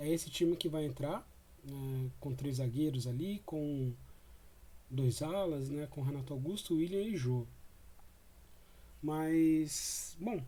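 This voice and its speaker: Somewhat breathy, a man speaks with a fairly high pitch, a dark, mellow tone and ordinary pitch variation. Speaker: football fan commentator. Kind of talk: post-match commentary. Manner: casual, hesitant with fillers.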